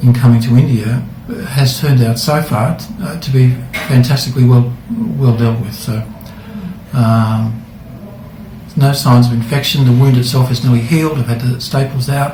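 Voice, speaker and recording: A man at medium pitch and a moderate pace, fairly even intonation, long and frequent pauses, noticeable background noise behind him. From Australia. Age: 60s. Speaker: hip replacement patient. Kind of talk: patient testimonial interview. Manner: casual, hesitant.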